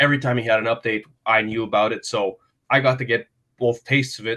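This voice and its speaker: Against a quiet background, a man talks at a very fast pace. His tone is bright and sharp, his pitch medium. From Quebec, Montreal. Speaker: hockey advisor, former player. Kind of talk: podcast interview.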